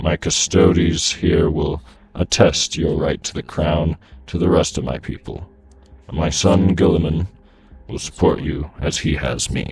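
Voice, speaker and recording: A man puts on a character voice, pitched very deep and low, and keeps to a moderate pace. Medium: audio drama. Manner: strong, firm, solemn.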